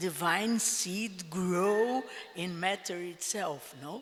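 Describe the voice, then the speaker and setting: Over noticeable background noise, a woman with a Portuguese accent speaks very slowly in a fairly low voice with ordinary pitch variation. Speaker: panel speaker at a spiritual convention. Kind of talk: panel talk. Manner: halting.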